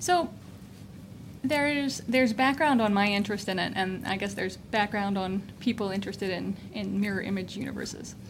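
A fairly quick pace and ordinary pitch variation in an ordinary speaking voice. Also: woman, medium pitch for a woman. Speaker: physicist scientist. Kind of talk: interview explaining science. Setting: in person at a laboratory.

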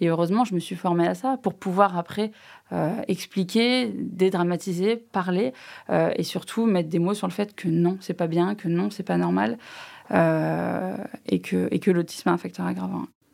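A woman speaks at a fairly slow pace. Her pitch is fairly low, with ordinary pitch variation. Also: very clean recording, silent background. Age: 30s. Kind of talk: panel discussion. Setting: studio. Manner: halting.

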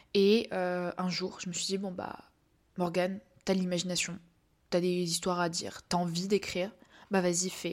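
In a very clean recording with a silent background, a woman speaks in a flat monotone at a fairly slow pace, with long, frequent pauses. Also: medium pitch for a woman. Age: young. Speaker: podcast host and novelist. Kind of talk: casual monologue. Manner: hesitant, many fillers.

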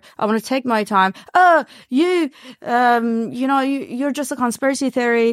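A woman speaks with a strong Iranian accent, her pitch high and her intonation lively. The pace is moderate, and the very clean recording has a silent background and a dry, close sound with no echo. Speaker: reality TV personality. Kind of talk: interview. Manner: outspoken.

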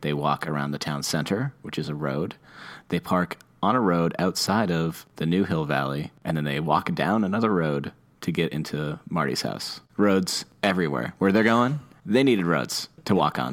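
A man's very deep, low voice with vocal fry, a playful tone and a moderate pace. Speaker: podcast host. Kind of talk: casual chat. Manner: joking, playful.

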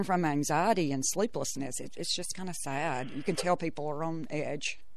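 In a Southern US accent, a woman talks at a fairly quick pace and a fairly low pitch, with ordinary pitch variation. Audible room echo surrounds her voice. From Mississippi Delta. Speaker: nurse. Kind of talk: interview.

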